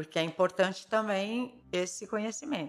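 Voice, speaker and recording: Bright and sharp in tone, a woman of medium pitch speaks at a moderate pace. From São Paulo city, Brazil. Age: 50s. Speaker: ceramicist. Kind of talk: interview.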